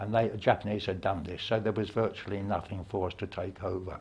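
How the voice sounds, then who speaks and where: Here a man talks in a fairly low pitch. His voice is somewhat breathy. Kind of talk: interview answer. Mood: calm, reflective, gently humorous. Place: hall.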